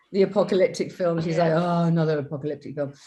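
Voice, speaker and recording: In a British accent, a woman speaks with a fairly low pitch against a quiet background. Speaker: film director. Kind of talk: interview.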